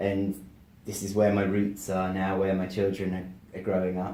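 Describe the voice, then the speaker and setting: The voice has a dark, mellow tone and an English accent. Room echo can be heard. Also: man. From England. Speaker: motivational speaker and author. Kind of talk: interview. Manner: articulate.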